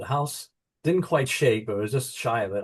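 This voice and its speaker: A man talks with an American accent, somewhat breathy. The background is quiet. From United States. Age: 70s. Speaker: author. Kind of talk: interview.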